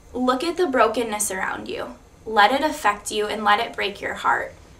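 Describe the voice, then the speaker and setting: The woman's fairly high voice has lively intonation at a moderate pace. Noticeable background noise and audible room echo fill the recording. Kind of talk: testimony. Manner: loud; blunt.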